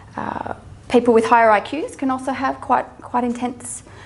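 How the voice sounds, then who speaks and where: A woman talks with an Australian accent, and audible room echo surrounds her voice. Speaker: mental health social worker and psychologist. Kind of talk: public talk. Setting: stage with audience. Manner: halting, many fillers and repetitions.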